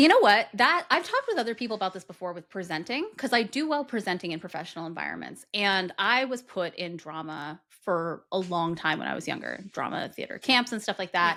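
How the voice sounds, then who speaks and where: In an American accent, a woman talks at a fairly quick pace and medium pitch with a bright, sharp tone, lively intonation, big swings in loudness and hardly any pauses, on a very clean recording with a silent background. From Massachusetts. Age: 30s. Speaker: podcast co-host. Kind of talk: casual chat. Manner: fast; quippy back-and-forth cadence.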